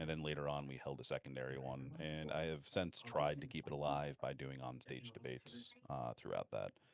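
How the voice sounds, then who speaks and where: Vocal fry runs through this man's very deep, low voice. He talks at a fairly quick pace with ordinary pitch variation. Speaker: online community member and debate organizer. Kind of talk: casual chat. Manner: halting.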